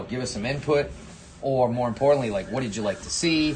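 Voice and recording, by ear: A man talks at a very fast pace in a Rhode Island accent. Noticeable background noise runs behind him. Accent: Rhode Island, dropped R's.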